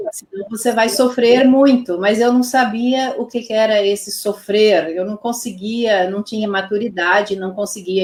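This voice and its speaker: A woman speaks with a Pomeranian accent. Her pitch is fairly high and her pace fairly slow. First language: Pomeranian (speaking Portuguese). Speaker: Pomeranian language teacher. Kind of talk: interview. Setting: live stream.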